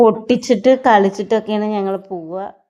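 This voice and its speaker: A woman's medium-pitched voice comes through in a monotone, flat intonation against a quiet background. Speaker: family vlogger. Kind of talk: casual vlog narration.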